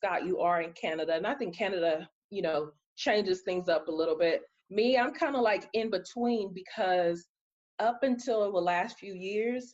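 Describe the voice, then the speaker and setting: This woman has an ordinary speaking voice at a medium pitch, talking at a moderate pace. Her intonation is lively. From East Texas. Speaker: podcast host. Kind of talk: casual chat.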